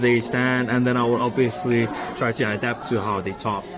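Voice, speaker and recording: Audible room echo and noticeable background noise around fairly slow speech. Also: man. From Denmark. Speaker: university student. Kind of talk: class podcast discussion. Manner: hesitant with fillers.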